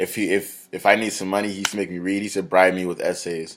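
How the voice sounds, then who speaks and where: Mumbling at a very fast pace, a man with an American accent speaks in a very deep, low voice. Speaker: college student. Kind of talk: class presentation video.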